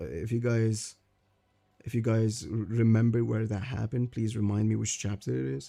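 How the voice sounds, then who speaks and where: Speaking at a moderate pace with a non-native accent, the man has a dark, mellow tone, a medium pitch and ordinary pitch variation. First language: not English. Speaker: streamer discussing manga. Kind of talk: live stream commentary. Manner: halting.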